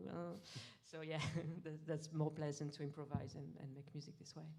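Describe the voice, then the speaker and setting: A woman with a French accent, a very deep, low pitch, a dark, mellow tone and monotone, flat intonation. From France. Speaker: musician. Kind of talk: interview Q&A. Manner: halting.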